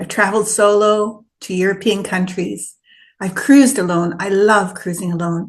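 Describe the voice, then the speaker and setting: A woman speaks at a fairly slow pace with a somewhat breathy voice. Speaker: retired solo traveler and travel vlogger. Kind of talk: casual talk to camera, travel vlog.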